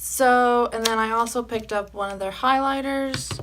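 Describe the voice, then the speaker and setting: Against noticeable background noise, a woman speaks with a fairly high pitch. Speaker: beauty vlogger. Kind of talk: makeup review and tutorial. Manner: casual, chatty.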